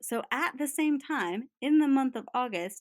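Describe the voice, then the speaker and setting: Speaking at a fairly slow pace, a woman's voice moves through very wide pitch swings. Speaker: podcast co-host. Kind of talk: casual chat. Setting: remote recording.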